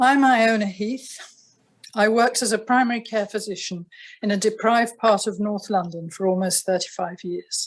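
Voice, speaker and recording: A woman with a British accent speaks at a fairly high pitch and a moderate pace. Her pitch varies in an ordinary way, and the background is quiet. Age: 70s. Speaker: retired family doctor. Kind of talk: testimony. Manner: formal.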